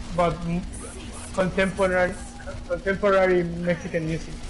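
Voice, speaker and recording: A man speaks with a Spanish accent in a high, flat monotone. Audible room echo and noticeable background noise are present. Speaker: gamer chatting online. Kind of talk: casual chat. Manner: halting.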